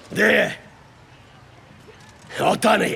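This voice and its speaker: A raspy, put-on character voice. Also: man. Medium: video game. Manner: sneering, aggressive.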